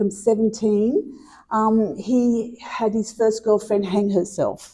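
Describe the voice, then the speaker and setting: A woman speaks fairly slowly in an Australian accent. Her fairly high pitch carries a dark, mellow tone. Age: 60s. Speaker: mental health presenter. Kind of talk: interview testimony.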